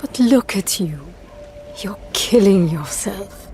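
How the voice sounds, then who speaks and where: A put-on character voice, female-sounding at medium pitch, delivered at a fairly slow pace with music in the background. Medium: video game. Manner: intimate, controlled.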